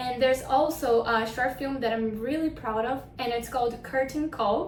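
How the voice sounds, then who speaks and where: A woman with a high-pitched voice talks at a moderate pace and fairly even intonation, with audible room echo and noticeable background noise. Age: 20s. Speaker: actress. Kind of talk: self-presentation.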